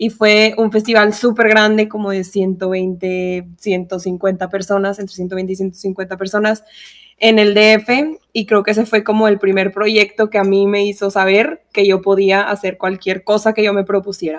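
A woman with a Mexican accent speaks at a fairly slow pace, her medium-pitched voice held in a flat monotone. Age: 20s. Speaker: podcast co-host, engineer and tap dancer. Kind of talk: casual chat. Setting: studio.

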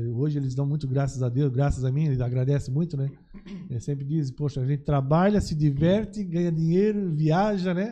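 A man's somewhat breathy, dark, mellow voice, fairly high in pitch, with ordinary pitch variation and a fairly quick pace. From Santa Catarina, Brazil (Blumenau/Gaspar). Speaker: businessman, TV producer. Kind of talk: casual interview chat.

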